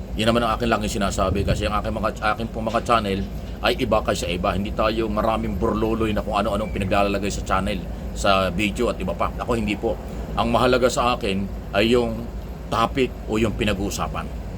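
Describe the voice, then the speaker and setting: Over noticeable background noise and audible room echo, a man speaks at a very fast pace. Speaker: political commentator. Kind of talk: opinion monologue. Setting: away from usual place. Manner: loud.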